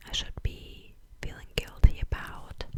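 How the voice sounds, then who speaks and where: This is a woman's voice. She whispers the whole way through. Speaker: ASMR content creator. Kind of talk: ASMR Q&A, close-up whispering to camera. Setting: home, filming at her place. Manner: soft, whispered, casual, chatty.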